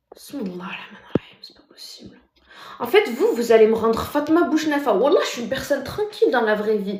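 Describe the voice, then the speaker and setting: Audible room echo is present. The voice belongs to a woman. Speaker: TikTok live streamer. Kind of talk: casual live stream chat reading comments. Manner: soft-spoken, deliberately speaking quietly; normally loud.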